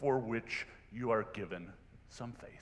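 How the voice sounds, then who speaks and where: A man speaks in a room with audible echo. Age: 60s. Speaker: lay preacher. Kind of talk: sermon. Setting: church. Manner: conversational.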